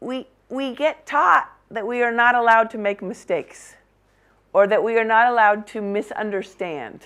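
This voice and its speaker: A woman with an American accent talks at a moderate pace in a normal speaking voice, her pitch fairly high with ordinary variation. The recording is very clean, with a silent background. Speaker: cinematographer and documentary director teaching a workshop. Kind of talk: workshop lecture.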